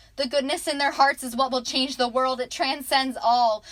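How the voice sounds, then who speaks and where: Over noticeable background noise, a woman speaks at a moderate pace in a high pitch with fairly even intonation. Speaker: student, aspiring teacher. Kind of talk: spoken word poetry.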